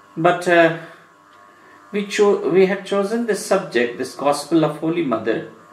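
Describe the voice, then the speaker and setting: With a Bengali accent, a man speaks in a high pitch at a fairly slow pace, his intonation lively, amid audible room echo and noticeable background noise. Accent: Indian English, Bengali. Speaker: monk giving religious discourse. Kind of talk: lecture. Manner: halting.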